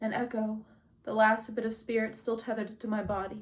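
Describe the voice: Someone simply reads a text aloud in a plain manner.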